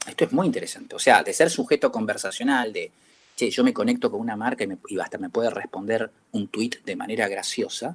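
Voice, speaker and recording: In a Rioplatense accent, a man talks at a fairly quick pace with a fairly high voice, very wide pitch swings and vocal fry. The sound is dry and close, with no echo. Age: 50s. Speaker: advertising executive. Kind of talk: interview. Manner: halting.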